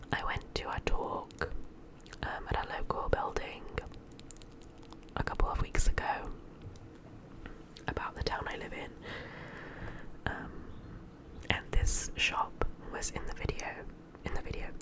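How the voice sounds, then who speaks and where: A woman is whispering, fairly slowly. There is noticeable background noise. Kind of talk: whispered ASMR vlog voiceover. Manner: whispered.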